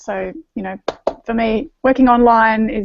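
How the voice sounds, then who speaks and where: With an Australian accent, a woman speaks at a fairly high pitch. Her pitch varies in an ordinary way. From Australia (east coast). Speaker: naturopath and singer-songwriter. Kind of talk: panel video chat. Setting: video call.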